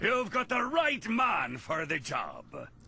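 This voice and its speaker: Against light background noise, a man does a put-on character voice at an extremely high pitch with very wide pitch swings and a fairly slow pace. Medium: video game. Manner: gruff.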